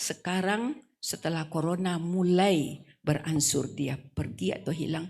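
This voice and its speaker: A woman speaks at a fairly slow pace with vocal fry. Her pitch varies in an ordinary way. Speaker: female Islamic preacher. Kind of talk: wedding sermon. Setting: wedding reception.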